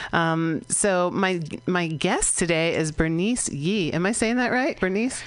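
The speaker has an ordinary speaking voice with ordinary pitch variation and very even loudness. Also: woman, fairly low pitch for a woman, fairly slow pace. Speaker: radio host. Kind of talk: interview. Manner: friendly, laughs often.

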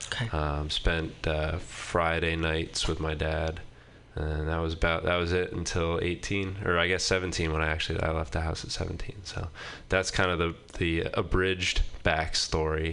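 A man's very deep, low voice, bright and sharp in tone, at a moderate pace with monotone, flat intonation. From Maine. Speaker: comedian. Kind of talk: casual chat. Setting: studio.

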